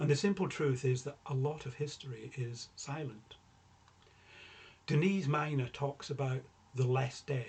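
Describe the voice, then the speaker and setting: The voice is somewhat breathy, with ordinary pitch variation. It moves at a moderate pace. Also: man. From rural Scotland. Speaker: novelist. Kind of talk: prepared talk. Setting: recorded for online event.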